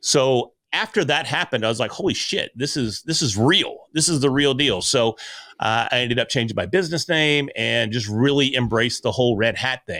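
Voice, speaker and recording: Loud, fairly quick man's voice with an American accent, medium pitch and ordinary pitch variation, on a very clean recording with a silent background. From US Ozarks. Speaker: podcaster and speaker. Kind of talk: interview conversation.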